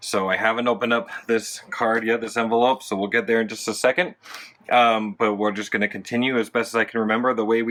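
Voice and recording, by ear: The voice reads a text aloud, sounding natural.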